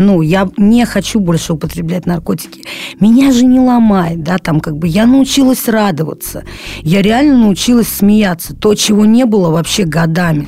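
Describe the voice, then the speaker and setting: Over noticeable background noise, a woman talks at a moderate pace in a medium pitch with lively intonation. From Saint Petersburg, Russia (moved from Krasnoyarsk at 13). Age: 20s. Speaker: recovering drug addict. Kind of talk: testimony. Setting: studio. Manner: halting, many fillers.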